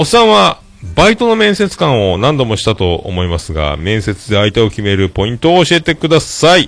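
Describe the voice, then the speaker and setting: In an animated tone, a man talks at a fairly quick pace. His medium pitch swings very widely. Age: 40s. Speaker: podcast host. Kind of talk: casual solo talk show. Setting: home livestream recording. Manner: formal, polite phrasing.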